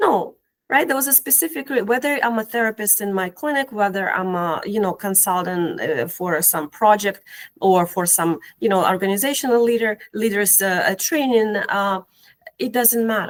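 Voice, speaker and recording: A woman with an Eastern European accent and lively intonation, on a very clean recording with a silent background. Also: fairly high pitch for a woman, moderate pace. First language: Eastern European language. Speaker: cognitive behavioral therapist and educator. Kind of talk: casual interview conversation. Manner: hesitant, many fillers and repetitions.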